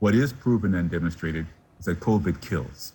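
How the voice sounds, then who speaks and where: The man's pitch is very deep and low, and his voice is somewhat breathy. He moves at a fairly quick pace with ordinary pitch variation. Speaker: physician. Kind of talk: TV news interview.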